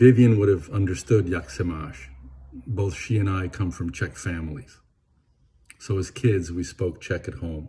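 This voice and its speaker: A man with a very deep, low pitch, a dark, mellow tone and vocal fry speaks at a moderate pace with lively intonation. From Venezuela, Caracas. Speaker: eulogist, lifelong friend of the deceased. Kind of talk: eulogy.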